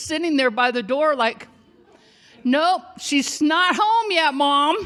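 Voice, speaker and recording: A woman speaks in a raised, projected voice with a bright, sharp tone. Her delivery is animated. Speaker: storyteller. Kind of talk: storytelling performance.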